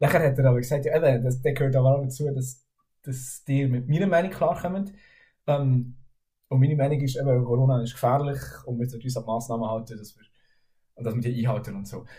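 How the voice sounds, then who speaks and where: A man's medium-pitched, somewhat breathy voice with a dark, mellow tone, very fast pace, long, frequent pauses, ordinary pitch variation and audible room echo. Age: 20s. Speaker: music student. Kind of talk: casual chat.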